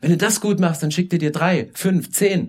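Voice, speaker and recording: A man with a high-pitched voice. He talks at a moderate pace. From Saxony, rural. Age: 50s. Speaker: guest preacher. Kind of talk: sermon. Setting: church service.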